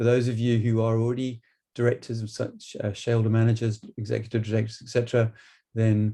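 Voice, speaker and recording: A man's medium-pitched, somewhat breathy voice with a dark, mellow tone, monotone, flat intonation and a very fast pace. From UK. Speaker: business trainer and board director. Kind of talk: webinar presentation. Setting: online webinar.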